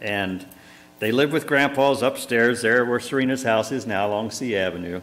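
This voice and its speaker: Speaking at a moderate pace, the man has a medium pitch and ordinary pitch variation. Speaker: pastor officiating a funeral. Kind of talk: funeral sermon. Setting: church. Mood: warm, reflective, some smiles. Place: church. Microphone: lapel.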